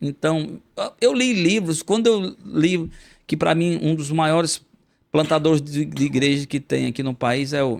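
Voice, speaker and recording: This man has a fairly high pitch and talks at a moderate pace. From Brazilian Northeast, Currais Novos (Rio Grande do Norte). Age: 50s. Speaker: pastor and poet. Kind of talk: interview conversation. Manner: halting, many repetitions.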